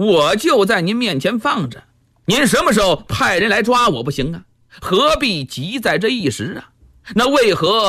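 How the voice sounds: Here the reading voice sounds natural.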